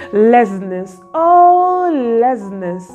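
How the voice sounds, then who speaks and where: Faint music plays behind a woman whose voice sits high in pitch. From Africa. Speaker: poet. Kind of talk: spoken word poetry. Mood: wistful, dramatic. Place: home room. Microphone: phone near.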